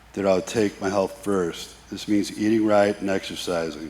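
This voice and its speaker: A man speaks with a fairly low pitch and fairly even intonation. Noticeable background noise sits behind him. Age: 50s. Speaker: fitness client. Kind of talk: testimony.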